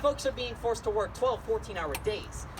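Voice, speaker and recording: A man speaks at a fairly quick pace. There is audible room echo and noticeable background noise. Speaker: solo stage performer. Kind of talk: one-man comedy show with songs. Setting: stage with audience. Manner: fast; rambling.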